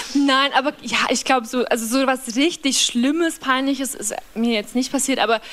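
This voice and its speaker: A woman with a Bavarian accent talks at a moderate pace in a high pitch with ordinary pitch variation, over noticeable background noise. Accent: Bavarian, rolled R. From Bavaria, Upper Palatinate (small village). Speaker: singer-songwriter. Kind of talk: casual chat.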